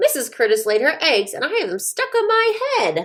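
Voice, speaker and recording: A woman's squeaky, put-on character voice, high-pitched with very wide pitch swings, at a moderate pace. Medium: read story.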